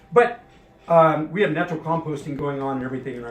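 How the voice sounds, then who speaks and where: Lively intonation fills a man's very fast speech as noticeable background noise plays behind. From Cuba. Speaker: tequila brand owner and master distiller. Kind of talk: interview answer. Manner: casual, hesitant with many fillers.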